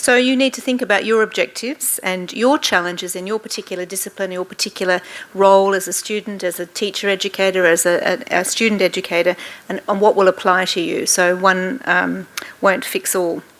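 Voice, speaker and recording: A woman talks fairly quickly at a medium pitch. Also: ordinary pitch variation. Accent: Australian. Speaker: professor. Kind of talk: workshop lecture. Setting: room with live audience. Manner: fast.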